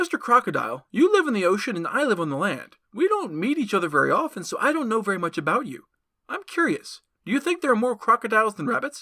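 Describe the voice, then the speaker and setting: A put-on character voice at a very fast pace, fairly high in pitch, with very wide pitch swings. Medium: read story. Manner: polite and wheedling, turning cocky.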